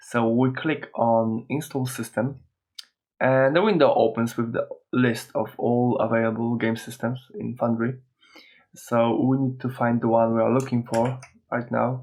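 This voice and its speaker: Speaking with a non-native accent, a man holds a medium pitch at a fairly slow pace, his intonation monotone and flat. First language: not English. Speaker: software tutorial host. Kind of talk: tutorial. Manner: hesitant, many filler uhs.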